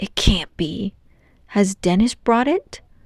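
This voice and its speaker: A female-sounding voice puts on a character voice at a medium pitch and a fairly slow pace. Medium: read story. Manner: upbeat, goofy.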